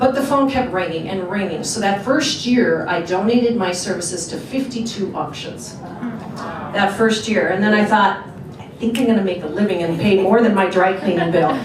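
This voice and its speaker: Speech in an American accent moves at a moderate pace with hardly any pauses and ordinary pitch variation. Noticeable background noise runs underneath. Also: woman, medium pitch for a woman. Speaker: professional fundraising auctioneer. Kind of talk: casual storytelling to a luncheon audience.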